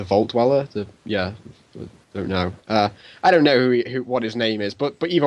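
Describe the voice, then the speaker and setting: This man's voice sits at a medium pitch with ordinary pitch variation. He talks at a moderate pace. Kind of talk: casual chat. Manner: loud; halting.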